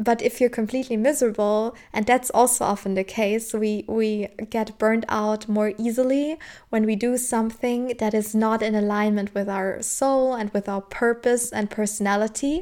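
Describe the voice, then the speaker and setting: A woman with a German accent speaks at a moderate pace in a dark, mellow tone with a fairly high pitch. Her intonation stays fairly even on a very clean recording with a silent background. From southern Germany. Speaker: podcast host. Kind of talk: solo personal-growth talk. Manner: casual, frequent laughter.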